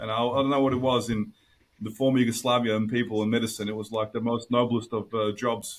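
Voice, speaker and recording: A man talks very fast at a medium pitch. His intonation is monotone and flat. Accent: Australian. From Australia. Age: 30s. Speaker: engineer and academic. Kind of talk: podcast interview.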